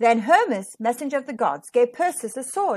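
A woman's fairly high voice with big pitch swings, a slightly husky edge and a moderate pace

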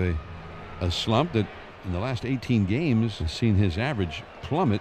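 A normal speaking voice comes from a man with a fairly low pitch, talking at a moderate pace. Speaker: baseball broadcaster. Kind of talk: live baseball play-by-play.

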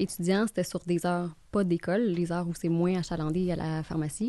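A woman speaks at a moderate pace with a slight Gaspésie accent, her fairly low, dark and mellow voice held to a fairly even intonation in a dry recording with no echo. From Gaspésie, Quebec (Bonaventure); Quebec. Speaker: mortgage broker; guest. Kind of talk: casual interview. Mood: relaxed, friendly. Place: studio. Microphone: studio mic.

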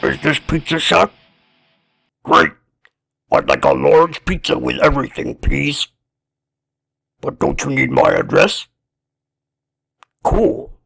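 A raspy, put-on character voice delivered at a fairly slow pace with long, frequent pauses. The sound is dry and close, with no echo. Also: man. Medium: cartoon. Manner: casual, easily impressed, laid-back dude.

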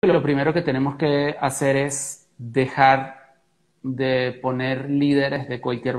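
The speaker is a man with a Venezuelan accent. He moves at a fairly slow pace. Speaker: interview guest. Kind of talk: interview answer. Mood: earnest, reflective. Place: home room.

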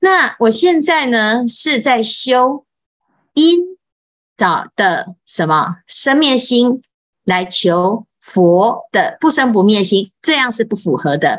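A woman's fairly high voice at a very slow pace, with very wide pitch swings and very even loudness, against a quiet background. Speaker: Buddhist monastic teacher. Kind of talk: Buddhist scripture lecture. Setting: online live session. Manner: many filler particles. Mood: calm, patient teaching. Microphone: video call.

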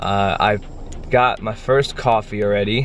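Against light background noise, a man with a plain, everyday voice speaks at a fairly low pitch with fairly even intonation. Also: dry sound with no echo. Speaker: vlogger. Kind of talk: casual vlog chat. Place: car. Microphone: phone near.

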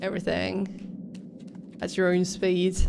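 A woman talks at a moderate pace with vocal fry. Background noise is noticeable. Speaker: game streamer. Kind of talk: casual gameplay commentary. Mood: relaxed, mildly amused. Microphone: studio mic.

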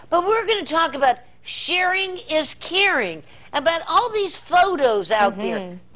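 A woman speaks at an extremely high pitch with very wide pitch swings and a fairly slow pace. Noticeable background noise runs behind her. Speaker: TV or radio show host, interviewer. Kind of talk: broadcast interview, conversational.

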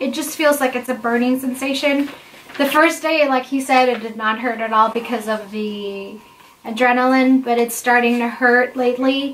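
A woman talks at a moderate pace with a high pitch and fairly even intonation, over light background noise. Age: 20s. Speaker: vlogger answering viewer questions about IVF. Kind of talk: casual Q&A chat. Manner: conversational, with frequent fillers. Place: home room. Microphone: camera far.

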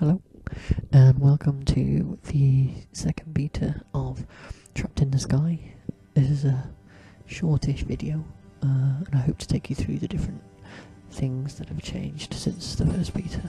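Faint music plays in the background as the voice, dry with no echo, proceeds at a moderate pace with ordinary pitch variation. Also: man, fairly high pitch for a man. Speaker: indie game developer. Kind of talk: game dev walkthrough narration. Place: home room.

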